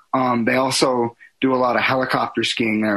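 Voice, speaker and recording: Moderate-paced speech in a plain, everyday voice, fairly even in intonation and in an American accent. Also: man. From Colorado mountains (Silverton). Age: 20s. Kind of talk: casual interview.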